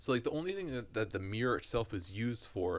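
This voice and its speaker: Fairly quick and somewhat breathy, a man of medium pitch speaks with lively intonation. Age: 20s. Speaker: podcast co-host. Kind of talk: casual chat.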